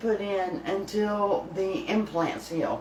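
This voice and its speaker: A woman with a Southern US accent speaks at a very slow pace in a medium pitch, with audible echo in the room. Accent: US South. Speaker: home cooking channel host. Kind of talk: casual live stream chat. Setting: live stream from home kitchen. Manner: slightly muffled, lisping from new teeth.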